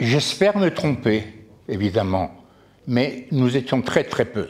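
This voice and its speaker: This man talks very slowly at a medium pitch, with lively intonation and very even loudness. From Poland. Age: 80s+. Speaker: Holocaust survivor. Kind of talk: testimony. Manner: halting.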